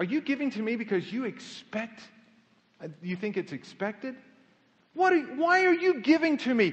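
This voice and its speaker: A man talks at a moderate pace in an American accent. His pitch swings very widely. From Kansas City, Missouri. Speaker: pastor. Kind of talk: sermon.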